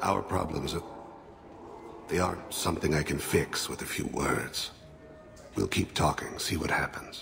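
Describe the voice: Man in a put-on character voice, extremely low in pitch with vocal fry and ordinary pitch variation, at a fairly slow pace with long, frequent pauses over faint background noise. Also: fairly bright tone.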